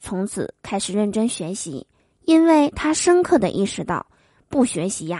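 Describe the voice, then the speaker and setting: A woman speaks with very wide pitch swings. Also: quiet background. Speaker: comedy podcast host. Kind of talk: joke telling. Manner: animated.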